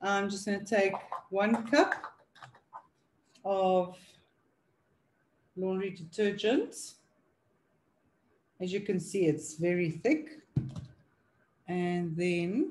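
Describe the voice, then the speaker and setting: Somewhat breathy and lively in intonation, a woman talks at a very slow pace with long, frequent pauses over light background noise. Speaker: product demonstrator. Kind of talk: tutorial.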